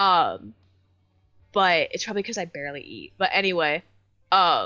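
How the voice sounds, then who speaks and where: A woman's fairly low voice at a moderate pace, lively intonation, music in the background. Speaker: podcast co-host. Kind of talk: casual chat.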